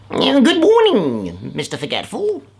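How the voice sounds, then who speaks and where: A put-on character voice is delivered at a moderate pace. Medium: read story.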